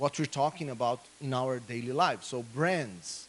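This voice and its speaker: Speaking at a moderate pace, a man with a Brazilian Portuguese accent has a bright, sharp tone. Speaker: political scientist. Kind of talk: conference talk.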